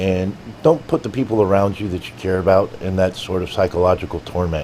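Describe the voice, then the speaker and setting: A man talks at a fairly quick pace in a very deep, low voice. Noticeable background noise can be heard. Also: ordinary pitch variation. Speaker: vlogger, army medic. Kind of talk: motivational talk. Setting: live stream. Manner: soft-spoken.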